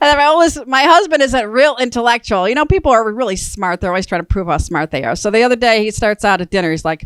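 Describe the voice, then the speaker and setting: A woman with an American accent speaks at a very fast pace, with hardly any pauses, in a fairly high voice. Her pitch swings very widely, and the sound is dry and close with no echo. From Chicago, US. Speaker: comedian. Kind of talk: stand-up.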